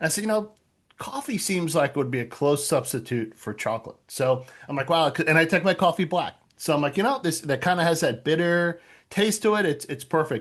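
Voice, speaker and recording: A man with an American accent speaks at a fairly quick pace and a fairly high pitch. His intonation is lively, and the background is quiet. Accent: New York accent, kept in check. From Long Island, New York. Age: 50s. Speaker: author. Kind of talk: casual chat.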